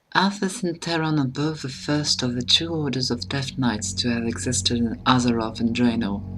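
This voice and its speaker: Speaking with a French accent at a moderate pace, a woman with a very deep, low voice uses lively intonation, with audible room echo and music in the background. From France. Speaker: gaming lore video creator. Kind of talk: scripted narration.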